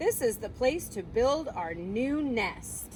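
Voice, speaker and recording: Using a put-on character voice, a woman speaks at a very slow pace and a fairly high pitch over clear background noise. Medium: read story.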